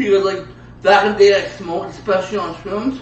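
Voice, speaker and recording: A man speaks over noticeable background noise. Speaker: stand-up comedian with a stutter. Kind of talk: casual talk, podcast guest. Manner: stuttering, disfluent, repeats words and syllables.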